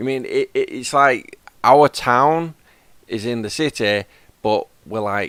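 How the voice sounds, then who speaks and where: Speaking at a very slow pace, a man leaves long, frequent pauses, and the sound is dry and close with no echo. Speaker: gaming streamer. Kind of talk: casual chat. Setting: live stream with voice chat.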